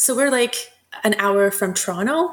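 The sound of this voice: A woman talks at a moderate pace with lively intonation. Her pitch sits in the medium range.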